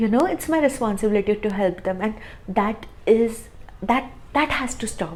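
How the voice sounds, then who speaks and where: A somewhat breathy woman with a non-native accent and fairly high pitch, at a moderate pace with ordinary pitch variation and long, frequent pauses. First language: not English. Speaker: tarot reader. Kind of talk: tarot reading monologue. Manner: halting, frequent fillers and repeats.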